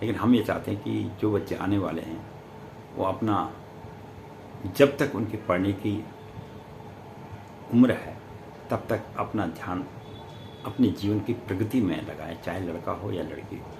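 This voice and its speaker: A man with a fairly low pitch and ordinary pitch variation leaves long, frequent pauses. Audible room echo fills the recording. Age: 70s. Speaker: astrologer. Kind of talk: spiritual talk to camera.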